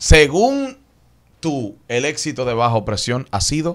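Over a quiet background, a man speaks at a fairly slow pace. His pitch swings very widely. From Dominican Republic. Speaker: YouTube interviewer and radio host; YouTube interviewer, radio host. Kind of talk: interview. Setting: studio. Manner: casual. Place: studio. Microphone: studio mic.

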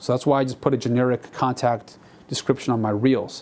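The man's intonation stays fairly even as he speaks. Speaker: stock footage creator. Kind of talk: casual vlog chat. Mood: reflective, mildly disappointed. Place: studio. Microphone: lapel.

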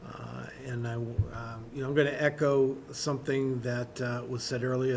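A man speaks at a medium pitch with ordinary pitch variation and vocal fry, and the room echo is audible. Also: slightly mellow tone.

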